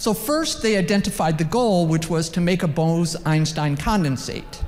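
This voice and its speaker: A woman speaks in a normal speaking voice at a moderate pace. Her pitch is fairly low, with ordinary pitch variation. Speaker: physics professor. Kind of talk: conference talk. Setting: conference session with audience.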